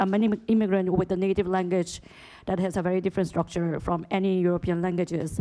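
Over a quiet background, a woman speaks at a fairly quick pace. Her tone is dark and mellow, her intonation monotone and flat. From South Korea. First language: Korean. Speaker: economist, conference participant. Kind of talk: academic Q&A comment; panel discussion comment. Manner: halting, many fillers. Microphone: podium.

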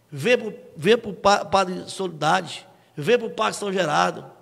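A man talks with ordinary pitch variation. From Ceará, Brazil. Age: 40s. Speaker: local reporter and politician; guest, political commentator. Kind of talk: interview. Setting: studio. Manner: animated. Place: studio. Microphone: studio mic.

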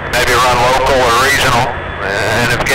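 A man's voice over loud background noise. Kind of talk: interview answer. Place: car.

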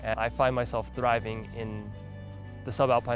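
Music plays in the background as a man with an American accent and a medium pitch talks at a fairly quick pace in monotone, flat intonation. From Los Angeles, California. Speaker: ecologist, climate scientist; rock climber. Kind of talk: documentary interview answer. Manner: soft-spoken.

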